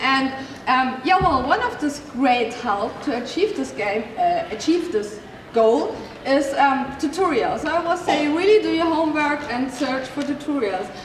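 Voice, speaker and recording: A woman with a high pitch speaks at a fairly slow pace with lively intonation. Audible room echo and noticeable background noise surround her voice. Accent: German. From Germany. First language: German. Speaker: cosplay armor maker teaching a panel. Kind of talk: convention panel presentation. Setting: stage with audience. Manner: halting, many fillers.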